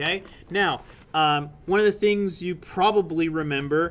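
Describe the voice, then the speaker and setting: Noticeable background noise behind a man with a fairly high pitch and ordinary pitch variation. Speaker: university lecturer. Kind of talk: classroom lecture. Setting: classroom with students. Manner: fast; many fillers and restarts.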